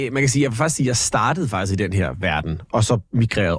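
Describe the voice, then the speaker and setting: Somewhat breathy, a man talks at a very fast pace with lively intonation. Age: 40s. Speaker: radio host and entertainer. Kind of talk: casual interview. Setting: studio.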